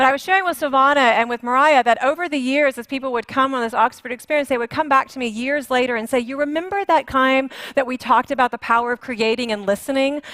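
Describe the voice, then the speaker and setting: Very fast and with hardly any pauses, the voice has a bright, sharp tone and ordinary pitch variation, in a dry, close sound with no echo. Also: woman, high pitch for a woman. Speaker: conference facilitator. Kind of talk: facilitating a group exercise at a conference. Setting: stage with live audience. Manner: conversational, with fillers.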